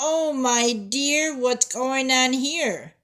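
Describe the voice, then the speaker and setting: A woman uses a put-on character voice pitched high. She speaks in a raised, projected voice. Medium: read story. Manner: bright, curious.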